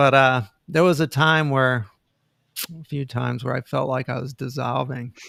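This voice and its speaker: A man at a moderate pace, fairly even intonation, long, frequent pauses, and a dry, close sound with no echo. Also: medium pitch for a man. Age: 60s. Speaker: inventor and energy healer. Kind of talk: interview.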